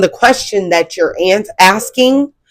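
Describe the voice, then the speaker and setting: A woman of medium pitch speaks fairly slowly in an American accent, her voice making very wide pitch swings. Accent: country twang. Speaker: spiritual content creator. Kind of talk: casual spiritual talk to camera. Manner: halting, many fillers and restarts.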